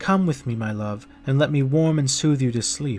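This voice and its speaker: A man puts on a character voice at medium pitch. He talks at a moderate pace with clear background noise. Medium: read story.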